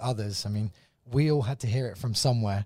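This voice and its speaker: On a very clean recording with a silent background, a man with an English accent and a medium-pitched voice talks at a very fast pace. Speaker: evangelist. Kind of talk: casual chat.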